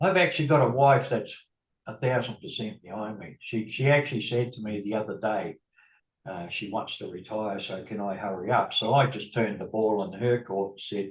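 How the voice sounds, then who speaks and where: Somewhat breathy, a man talks at a moderate pace with big swings in loudness. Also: fairly low pitch for a man, ordinary pitch variation. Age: 60s. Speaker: bus driver and affiliate marketer. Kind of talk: interview. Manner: halting.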